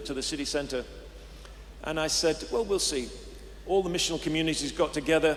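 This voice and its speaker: Over noticeable background noise, a man with an English accent talks at a fairly quick pace. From England. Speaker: pastor. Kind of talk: interview. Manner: halting.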